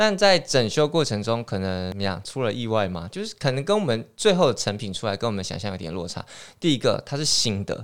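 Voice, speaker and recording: A man's medium-pitched voice at a fairly quick pace, with very wide pitch swings and hardly any pauses, in a very clean recording with a silent background. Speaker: township office tourism official. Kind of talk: casual chat.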